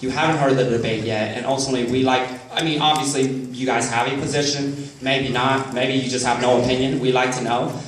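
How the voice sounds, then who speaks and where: Talking very fast in a flat monotone, a man is heard over noticeable background noise with audible room echo. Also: medium pitch for a man. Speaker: college professor, debate moderator. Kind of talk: moderating a live debate. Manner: loud. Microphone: no microphone, speaking unamplified.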